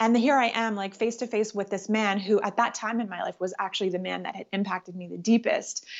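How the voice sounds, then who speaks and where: An unremarkable speaking voice from a woman with a Canadian accent, medium pitch, ordinary pitch variation, and a moderate pace. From Canada, Ottawa. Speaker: spiritual teacher. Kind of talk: interview.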